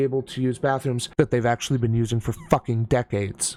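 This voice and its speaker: A man talks fairly quickly. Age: 30s. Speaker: YouTube commentator reacting to videos. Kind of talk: casual reaction commentary. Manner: casual, halting with restarts.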